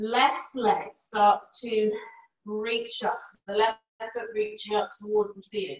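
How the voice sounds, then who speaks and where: A woman talks at a fairly slow pace. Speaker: yoga teacher. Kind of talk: live yoga class instruction. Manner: calm, soft-spoken.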